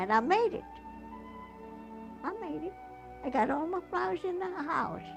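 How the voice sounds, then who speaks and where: With music in the background, the speech moves at a moderate pace through very wide pitch swings and long, frequent pauses. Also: woman, high pitch for a woman. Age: 80s+. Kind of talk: interview answer.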